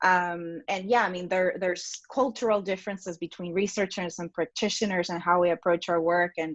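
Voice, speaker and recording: Against a quiet background, a woman speaks at a fairly quick pace. Her intonation is fairly even. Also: medium pitch for a woman. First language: not English. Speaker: science communication practitioner. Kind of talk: panel discussion.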